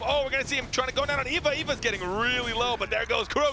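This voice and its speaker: A man speaks in a raised, projected voice at a very fast pace. Noticeable background noise is present. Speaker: esports caster. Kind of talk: live commentary. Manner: animated.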